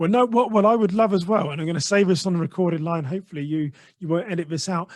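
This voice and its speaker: At a very fast pace, a man with an English accent speaks at a high pitch with ordinary pitch variation. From England. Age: 40s. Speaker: podcaster and mindset coach. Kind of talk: interview.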